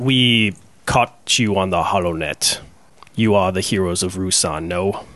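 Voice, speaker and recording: Using a put-on character voice, a man speaks at a fairly slow pace with very deep, low pitch. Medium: actual play. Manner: formal, dry, slightly mocking.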